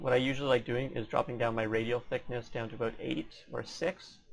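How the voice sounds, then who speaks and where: Very fast delivery from a man at medium pitch, his pitch varying in an ordinary way. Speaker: 3D modeling tutorial creator. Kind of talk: tutorial. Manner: fast talker; casual, slightly sloppy.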